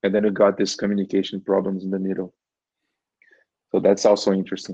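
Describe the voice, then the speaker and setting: Against a quiet background, a man with a Portuguese accent talks at a very fast pace, his fairly low, dark, mellow voice flat and monotone. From Brazil. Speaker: engineering manager. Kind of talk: podcast interview.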